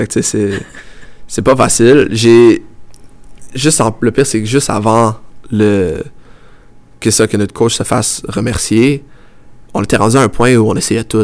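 With a Quebec accent, a man speaks at a medium pitch and a fairly slow pace, with fairly even intonation and long, frequent pauses. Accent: Québécois French. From Quebec, Montreal south shore. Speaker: professional football goalkeeper. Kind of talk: interview.

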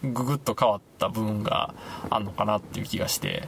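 A man speaks in a Kansai accent. Noticeable background noise can be heard behind him. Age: 30s. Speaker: podcast host. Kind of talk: casual chat. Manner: halting, many fillers.

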